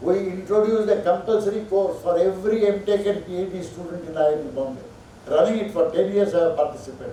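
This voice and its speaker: Amid audible room echo and noticeable background noise, a high-pitched man talks at a very fast pace with ordinary pitch variation. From India. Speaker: professor. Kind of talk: lecture.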